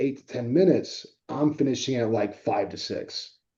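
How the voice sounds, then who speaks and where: The speaker has a plain, everyday voice. Delivery comes at a moderate pace with ordinary pitch variation. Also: man. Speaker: mortgage podcast host. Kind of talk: casual interview.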